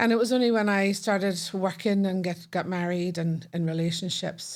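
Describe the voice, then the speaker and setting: A woman speaks at a moderate pace with a Northern Irish accent. The recording is very clean, with a silent background. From Northern Ireland, Belfast. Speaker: podcast guest. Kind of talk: casual chat.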